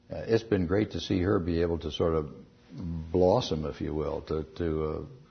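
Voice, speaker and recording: A man speaks at a moderate pace with ordinary pitch variation. His very deep, low voice is somewhat breathy. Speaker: astronaut and former senator. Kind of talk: interview answer.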